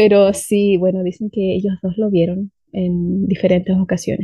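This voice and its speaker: Somewhat breathy and medium in pitch, a woman speaks at a fairly slow pace with monotone, flat intonation. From southern Chile, Valdivia. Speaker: language teacher. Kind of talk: storytelling.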